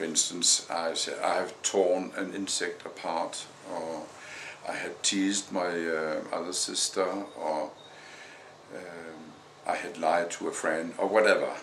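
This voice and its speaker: A man with a Danish accent, fairly slow pace and long, frequent pauses, with audible room echo and noticeable background noise. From Denmark. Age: 60s. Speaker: vlogger. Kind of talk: personal testimony. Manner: halting, many fillers.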